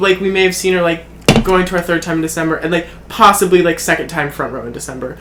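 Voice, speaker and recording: A man talks at a very fast pace in a high pitch. Noticeable background noise runs underneath. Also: fairly even intonation. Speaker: podcast co-host. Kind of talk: casual chat. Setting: at his family cabin.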